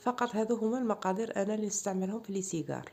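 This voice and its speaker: Against music in the background, a woman talks at a medium pitch and moderate pace with fairly even intonation. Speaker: cooking channel host. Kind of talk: cooking tutorial.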